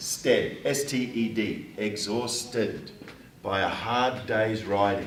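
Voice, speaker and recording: A man speaks at a very slow pace in a medium pitch, with monotone, flat intonation. Noticeable background noise and audible room echo are present. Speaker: writing teacher. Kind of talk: classroom lesson. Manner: loud.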